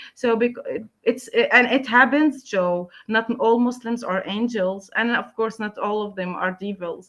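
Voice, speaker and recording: A woman with a Palestinian accent at a fairly slow pace. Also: fairly high pitch for a woman, ordinary pitch variation. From Palestine, Gaza. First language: Arabic. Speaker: writer, translator and English teacher. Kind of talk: interview. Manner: halting, many fillers and repeats.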